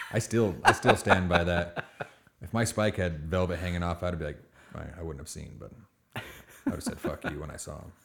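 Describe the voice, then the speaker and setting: A man's mumbling, very deep, low voice at a fairly quick pace, with big swings in loudness and long, frequent pauses. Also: ordinary pitch variation. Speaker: co-host. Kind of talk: casual chat. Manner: mumbles.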